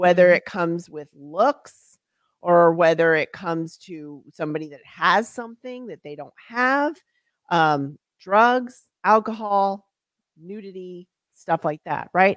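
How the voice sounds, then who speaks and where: Heard in a very clean recording with a silent background and a dry, close sound free of echo, this is a normal speaking voice with lively intonation, big swings in loudness and a fairly slow pace. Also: woman, fairly low pitch for a woman. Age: 50s. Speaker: author and nonprofit CEO. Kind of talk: casual chat.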